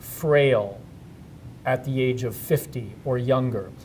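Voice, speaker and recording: This man talks at a moderate pace with fairly even intonation. His voice is somewhat breathy. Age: 60s. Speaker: HIV activist and presenter. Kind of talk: interview. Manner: hesitant, with fillers.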